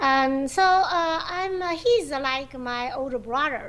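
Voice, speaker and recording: A woman's high-pitched voice with a Chinese accent. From China. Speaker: professional go player and teacher. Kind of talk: interview. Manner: halting, many fillers.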